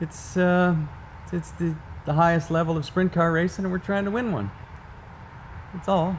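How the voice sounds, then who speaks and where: A man with a high-pitched voice speaks at a moderate pace with ordinary pitch variation and long, frequent pauses. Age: 60s. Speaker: sprint car team owner. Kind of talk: casual interview.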